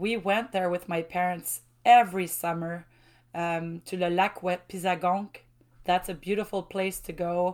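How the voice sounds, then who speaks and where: A woman with a French accent and a medium pitch speaks at a fairly slow pace in a cheerful tone, with a monotone, flat intonation. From Quebec, Mauricie. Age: 40s. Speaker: university lecturer. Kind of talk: casual interview. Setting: video call. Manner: laughs often, cheerful.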